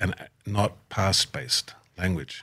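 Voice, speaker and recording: In a very clean recording with a silent background, a man talks with an Australian accent. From Australia, Tamworth. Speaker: podcast host, aid worker. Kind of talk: interview conversation.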